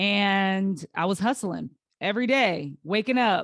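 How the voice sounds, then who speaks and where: On a very clean recording with a silent background, a woman speaks at a medium pitch in a dry, close sound with no echo. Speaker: podcast host. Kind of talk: solo podcast monologue. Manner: slow, halting.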